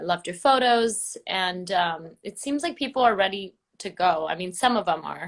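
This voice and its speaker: Here is an unremarkable speaking voice: a woman with an American accent at a medium pitch. She speaks at a moderate pace with lively intonation. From US West Coast, Los Angeles. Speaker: travel blogger. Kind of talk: interview. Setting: live Instagram video call.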